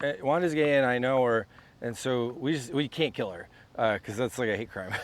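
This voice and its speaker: Speaking with a normal speaking voice, a man moves at a fairly quick pace, with medium pitch and ordinary pitch variation. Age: 40s. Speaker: stand-up comedian. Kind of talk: casual chat. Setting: outdoors.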